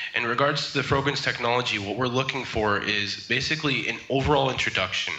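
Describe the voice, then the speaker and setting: Amid audible room echo, a man speaks very fast with fairly even intonation. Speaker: trademark consultant; remote guest. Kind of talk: interview. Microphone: video call.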